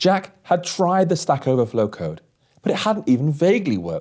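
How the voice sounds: A man speaks at a moderate pace with a fairly high pitch. His slightly mellow tone carries big pitch swings.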